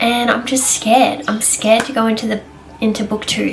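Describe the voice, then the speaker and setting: Against noticeable background noise, a woman with an Australian accent talks at a fairly quick pace in a fairly high pitch. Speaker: book reviewer. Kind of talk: casual chat. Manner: animated.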